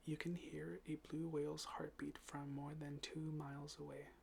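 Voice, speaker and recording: A soft-spoken man at a fairly slow pace. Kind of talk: ASMR fact reading for sleep.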